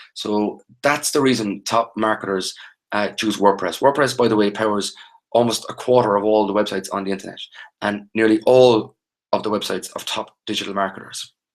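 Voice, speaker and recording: With an Irish accent, a man with a fairly low pitch speaks at a fairly quick pace. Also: fairly even intonation. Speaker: online training instructor. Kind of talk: live webinar tutorial. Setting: live video webinar. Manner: fast.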